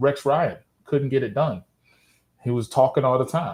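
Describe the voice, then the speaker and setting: In a very clean recording with a silent background, a man with a fairly high pitch and a dark, mellow, somewhat breathy tone speaks at a moderate pace. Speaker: football podcast host. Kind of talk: casual chat. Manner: halting.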